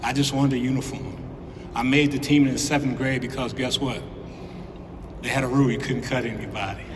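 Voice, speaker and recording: A man with an American accent talks very fast yet with long, frequent pauses, his intonation monotone and flat, amid audible room echo and noticeable background noise. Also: medium pitch for a man. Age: 60s. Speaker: former college basketball player, hall of fame inductee. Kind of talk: acceptance speech.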